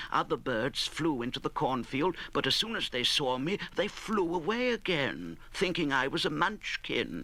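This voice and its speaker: A man's fairly high, bright and sharp voice with vocal fry, lively intonation and a fairly slow pace. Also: hardly any pauses. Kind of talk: audiobook reading of a classic children's novel.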